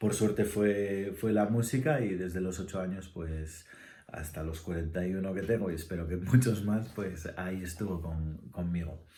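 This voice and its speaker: With a very deep, low pitch and a dark, mellow tone, a somewhat breathy man speaks at a moderate pace with ordinary pitch variation amid audible room echo. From Spain, Asturias. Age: 40s. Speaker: musician and ensemble director. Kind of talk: casual interview answers, self-read questions. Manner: halting, many fillers.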